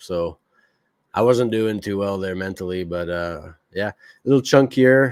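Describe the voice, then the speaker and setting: On a very clean recording with a silent background, a man in a French Canadian accent speaks at a moderate pace with a fairly low pitch and ordinary pitch variation. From Quebec. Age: 40s. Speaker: podcast host. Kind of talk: casual monologue commentary.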